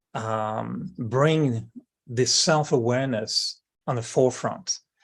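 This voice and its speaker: Against a quiet background, a man with a French accent speaks very slowly at a medium pitch, with ordinary pitch variation. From France, Brittany. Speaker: spiritual speaker. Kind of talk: interview. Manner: hesitant, with fillers.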